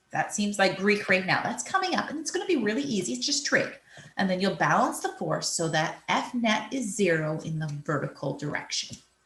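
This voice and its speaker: In a room with audible echo, a woman speaks fairly quickly at a medium pitch with very wide pitch swings. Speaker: physics teacher. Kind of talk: recorded lesson. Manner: explanatory, measured.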